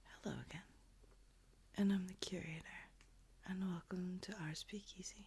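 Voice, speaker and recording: The voice is soft-spoken. Long pauses come frequently. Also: moderate pace. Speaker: ASMR creator. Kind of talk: casual talk to camera.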